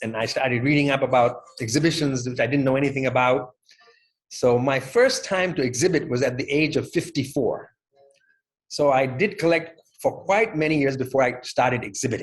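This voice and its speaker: At a fairly quick pace, a man speaks in a fairly high, somewhat breathy voice with ordinary pitch variation. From Thailand. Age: 60s. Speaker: stamp collector. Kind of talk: interview.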